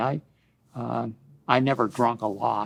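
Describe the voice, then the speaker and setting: A man speaks with an American accent and a medium pitch. His pitch variation is ordinary, and the background is quiet. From Ohio, USA. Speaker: Vietnam war veteran. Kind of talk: oral history interview answer.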